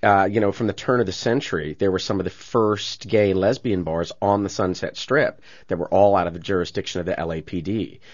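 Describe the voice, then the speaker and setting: A man speaks in a normal speaking voice, fairly low in pitch with ordinary pitch variation. He talks at a fairly quick pace with hardly any pauses. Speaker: tour company owner. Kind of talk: casual interview. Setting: studio.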